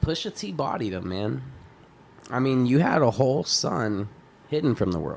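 A man at medium pitch with an American accent, moderate pace, very wide pitch swings and long, frequent pauses. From Texas. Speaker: rapper. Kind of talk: casual chat. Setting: studio.

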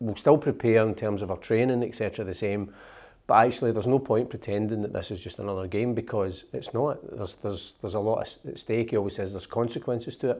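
Speaking very fast in a Scottish accent, a man with a fairly low pitch and a dark, mellow tone uses ordinary pitch variation on a very clean recording with a silent background. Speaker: magazine editor and podcast co-host. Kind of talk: casual chat. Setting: studio.

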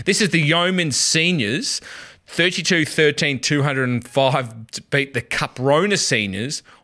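A man with an Australian accent, fairly high pitch and bright, sharp tone, lively intonation at a fairly slow pace, on a very clean recording with a silent background. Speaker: podcast host. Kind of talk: casual banter, sports podcast.

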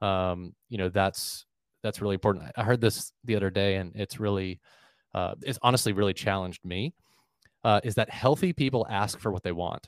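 A man with an American accent, fairly low in pitch, at a moderate pace with ordinary pitch variation, in a dry, close sound with no echo. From Florida, US. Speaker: church staff leader and executive coach. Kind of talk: casual interview. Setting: remote call. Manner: halting, many fillers.

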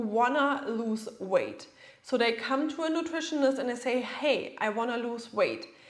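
A woman speaks at a fairly slow pace with a German accent, her high pitch moving with ordinary variation against audible room echo. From Germany. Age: 30s. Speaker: nutritionist. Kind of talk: podcast monologue.

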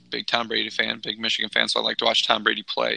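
A man's voice with noticeable background noise. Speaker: sports podcast co-host.

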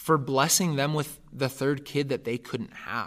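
On a very clean recording with a silent background, a man with a Californian accent speaks fairly slowly at a medium pitch, his tone bright and sharp. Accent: General American (California). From Northern California. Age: 20s. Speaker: adoptee telling life story, pastoral apprentice. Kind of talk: personal testimony in interview.

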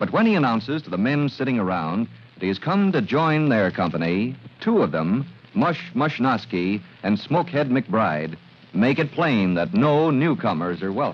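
Slightly husky at the edge, a man speaks at a fairly low pitch and moderate pace with big pitch swings.

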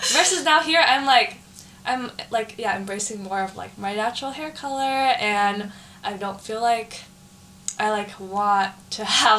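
A woman with an American accent, fairly high pitch and ordinary pitch variation, over noticeable background noise. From San Jose, California. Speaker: college student. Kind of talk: casual chat.

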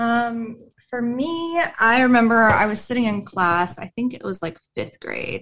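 A woman with a plain, everyday voice and an American accent, fairly high in pitch, with lively intonation, a fairly slow pace and big swings in loudness. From US Pacific Northwest, near Tacoma. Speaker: veteran nonprofit manager. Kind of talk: casual chat.

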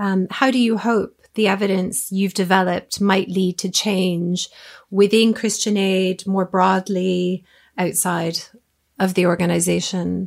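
A woman's monotone, flat delivery at a fairly slow pace and medium pitch, with a Canadian accent, on a very clean recording against a silent background. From Canada, Toronto. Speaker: podcast host. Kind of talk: interview.

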